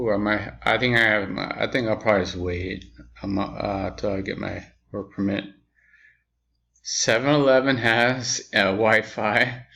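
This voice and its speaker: A fairly low-pitched man speaks at a fairly slow pace with fairly even intonation. His tone is bright and sharp, and the background is quiet. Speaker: video message sender. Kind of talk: personal video message. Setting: indoors, dim room. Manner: halting.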